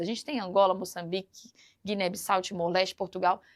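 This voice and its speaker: Speaking with a Minas Gerais accent, a woman talks fairly quickly in an animated tone. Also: very clean recording, silent background. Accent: Minas Gerais (mineiro). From Brazil, Minas Gerais. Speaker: teacher. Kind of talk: lecture.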